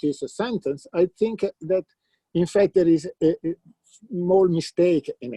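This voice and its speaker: A man's high-pitched, dark, mellow voice at a fairly slow pace, in a dry, close sound with no echo. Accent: Italian. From Italy, Lombardy. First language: Italian. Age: 60s. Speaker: philosopher of mathematics. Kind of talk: conference talk. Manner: halting, many fillers.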